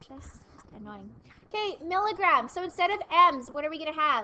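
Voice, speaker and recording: Bright and sharp in tone, a woman's voice is raised and projected. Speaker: math teacher. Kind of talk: classroom lecture. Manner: mumbling.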